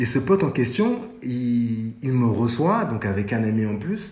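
The voice is somewhat breathy, with lively intonation. Room echo can be heard. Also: man. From France, Paris suburbs (Sarcelles, Val d'Oise). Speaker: fashion journalist and stylist. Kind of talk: casual interview. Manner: hesitant, with many fillers.

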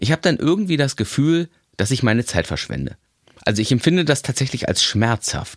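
A man with vocal fry talks at a medium pitch and fairly quick pace. His intonation is lively, and the sound is dry and close with no echo. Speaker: podcast host. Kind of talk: inspirational monologue.

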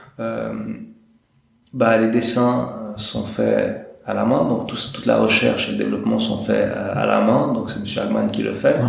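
The voice swings very widely in pitch at a fairly slow pace. Audible room echo surrounds it. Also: man, very deep, low pitch for a man. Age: 30s. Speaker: independent watchmaker. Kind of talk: interview. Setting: watchmaking workshop. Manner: hesitant, many repetitions.

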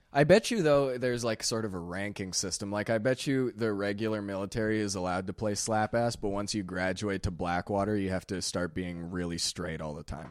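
In a very clean recording with a silent background, a man with a plain, everyday voice talks at a fairly quick pace and fairly low pitch, hardly pausing at all. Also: ordinary pitch variation. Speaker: comedy podcast host. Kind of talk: casual chat.

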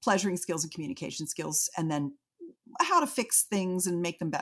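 A somewhat breathy woman's voice. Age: 60s. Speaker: intimacy adviser. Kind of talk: interview. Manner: animated.

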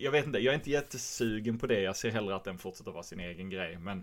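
His intonation is lively. The man speaks with a very deep, low pitch. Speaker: podcast host and film actor. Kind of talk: casual chat.

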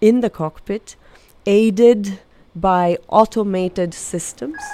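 The voice has a dark, mellow tone and ordinary pitch variation. It moves at a fairly slow pace. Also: woman. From Italy, Milan. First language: Italian. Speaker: aerospace executive. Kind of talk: interview.

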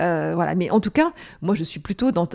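A woman speaks against a quiet background. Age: 50s. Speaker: entrepreneur and author. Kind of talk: interview. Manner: halting, frequent repetitions.

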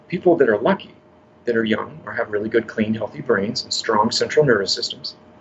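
Noticeable background noise behind a man, fairly quick, in an American accent. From northern California. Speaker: health coach. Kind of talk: interview.

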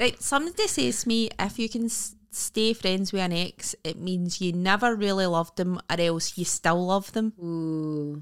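With a Scottish accent, the speaker goes at a fairly slow pace with hardly any pauses and ordinary pitch variation, in a very clean recording with a silent background. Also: woman, medium pitch for a woman. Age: 30s. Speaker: comedian. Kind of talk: casual chat.

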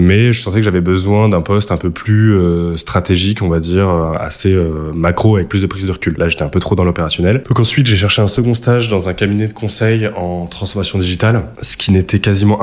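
Barely pausing, a man with a fairly low pitch talks at a very fast pace with fairly even intonation over noticeable background noise. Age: 20s. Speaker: venture capital analyst. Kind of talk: interview. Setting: office premises. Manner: hesitant with fillers.

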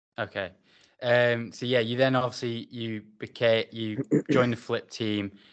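A medium-pitched man with an English accent, in a flat monotone against a quiet background. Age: 20s. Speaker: podcast host. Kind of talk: casual interview.

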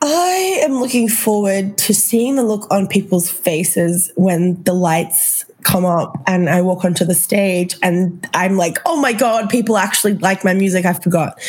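A woman with an Australian accent speaks at a fairly slow pace in a medium pitch. Her loudness stays very even and her pitch varies in an ordinary way, with noticeable background noise behind her. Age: 20s. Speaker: singer-songwriter. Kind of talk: casual interview chat.

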